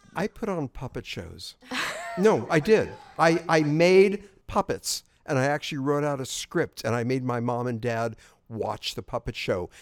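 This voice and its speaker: Fairly slow and fairly high-pitched, a man speaks with an American accent and very wide pitch swings, the sound dry and close with no echo. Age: 70s. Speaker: podcast co-host, older generation. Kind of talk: casual chat.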